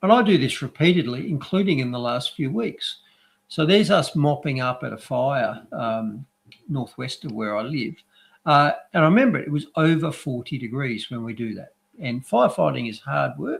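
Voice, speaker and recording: A man with an Australian accent speaks at a moderate pace. His fairly high voice is somewhat breathy, with lively intonation. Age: 60s. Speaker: doctor and news commentator. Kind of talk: casual chat. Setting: live stream.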